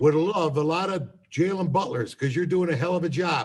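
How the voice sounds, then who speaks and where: Animated in tone, a man speaks at a moderate pace with ordinary pitch variation. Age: 60s. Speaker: college academic mentor. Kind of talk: casual chat.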